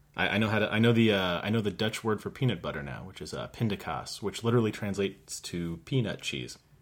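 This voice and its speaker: Vocal fry runs through this man's fairly low voice, delivered in an American accent with ordinary pitch variation. He talks at a very fast pace with hardly any pauses. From United States. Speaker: guest co-host. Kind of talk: casual chat.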